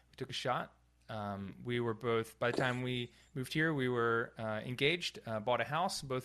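A man's medium-pitched voice with ordinary pitch variation, an unremarkable speaking voice, over a quiet background. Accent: American. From North Carolina. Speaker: physical therapist and business consultant. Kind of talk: interview, casual.

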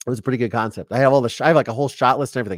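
In an American accent, the voice comes through dry and close with no echo on a very clean recording with a silent background. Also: man. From Ohio. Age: 40s. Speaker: true crime podcast host. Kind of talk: casual livestream commentary. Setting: live stream. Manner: animated, conversational with fillers.

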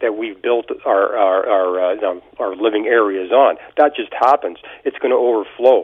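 A man with a Canadian accent at a fairly slow pace. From southwestern Ontario, Canada. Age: 50s. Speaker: caller. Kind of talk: call-in. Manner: halting.

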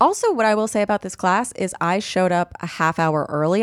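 A woman talks at a fairly quick pace. Her pitch is fairly low, and she has a normal speaking voice. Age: 30s. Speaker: podcast co-host and comedian. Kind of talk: casual chat.

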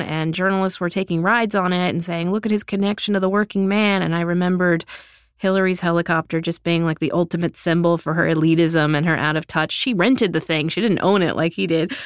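A woman with a plain, everyday voice speaks fairly quickly at a fairly low pitch, with ordinary pitch variation, very even loudness and hardly any pauses, the sound dry and close with no echo in a very clean recording with a silent background. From South Texas. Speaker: journalist and author. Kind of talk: reading aloud from her book; interview conversation.

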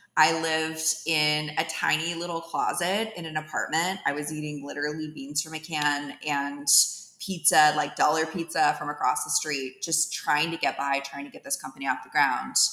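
A woman with an American accent speaks at a moderate pace in a very deep, low pitch, with fairly even intonation and hardly any pauses. Noticeable background noise runs behind her. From US West Coast, East Bay of San Francisco Bay Area. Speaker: tech startup founder and CEO. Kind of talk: podcast interview.

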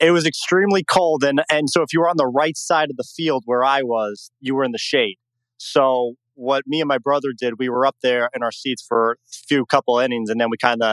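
A man with an American accent has a plain, everyday voice at medium pitch, with ordinary pitch variation and a fairly quick pace. The sound is dry and close, with no echo. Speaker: caller, Yankees fan. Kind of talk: call-in sports talk.

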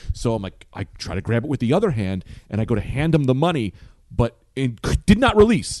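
Speaking with an American accent, a man sounds animated and talks at a fairly quick pace. His pitch swings very widely, with vocal fry. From New Jersey (Bloomfield, near Newark). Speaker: stand-up comedian. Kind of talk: casual chat. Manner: animated storytelling.

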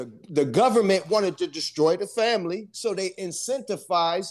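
Speaking at a moderate pace with lively intonation, a man with an American accent is heard over a quiet background. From US East Coast.

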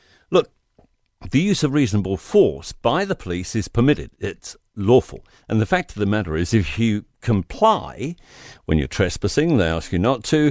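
In a New Zealand accent, a man with a fairly low pitch and very wide pitch swings speaks at a moderate pace, the sound dry and close with no echo in a very clean recording with a silent background. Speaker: radio commentator. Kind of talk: angry opinion rant. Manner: indignant, combative; emphatic, punchy.

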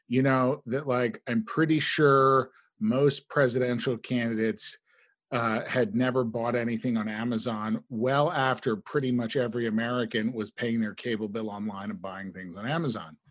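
A man with a normal speaking voice talks at a moderate pace and medium pitch. His pitch varies in an ordinary way over a silent background in a very clean recording. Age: 40s. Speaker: digital political strategist. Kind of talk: casual chat.

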